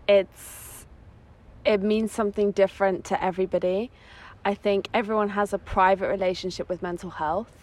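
A woman's medium-pitched voice with an English accent, monotone, flat intonation and a moderate pace. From England. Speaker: psychosexology student. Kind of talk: casual chat. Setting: outdoors on a beach.

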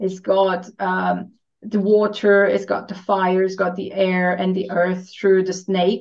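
With a Romanian accent, a woman talks at a medium pitch and a very slow pace. Her intonation stays monotone and flat. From Romania (Transylvania). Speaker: spiritual coach. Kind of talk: casual chat.

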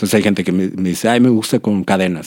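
This man has a dark, mellow tone at a fairly low pitch. His intonation stays fairly even. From Monterrey, northern Mexico. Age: 40s. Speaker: tattoo artist and musician. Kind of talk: interview.

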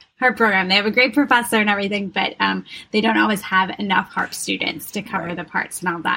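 A woman with an American accent talks at a very fast pace in a medium pitch, with ordinary pitch variation. Her tone is bright and sharp, with vocal fry. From Wisconsin. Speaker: harpist, yoga instructor and doula. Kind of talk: casual interview.

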